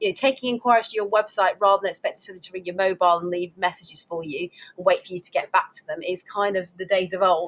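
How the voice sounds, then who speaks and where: A woman with a Lancashire accent talks at a very fast pace, with hardly any pauses. Her pitch sits at a medium level, her intonation stays fairly even, and her loudness swings widely. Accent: Lancastrian. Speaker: webinar presenter for driving instructor association. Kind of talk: webinar presentation. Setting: online webinar.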